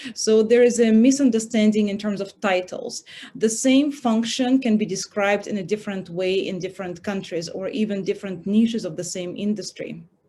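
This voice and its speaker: At a fairly quick pace, a woman speaks with a somewhat breathy, dark, mellow tone, a medium pitch and ordinary pitch variation. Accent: Russian. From Russia. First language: Russian. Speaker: recruiter, career panelist. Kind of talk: panel talk. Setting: online event.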